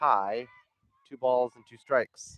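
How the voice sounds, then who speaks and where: Dry and close with no echo, a man's medium-pitched voice moves at a fairly slow pace with fairly even intonation. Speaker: sports play-by-play commentator. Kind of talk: live commentary. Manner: loud, raised over wind.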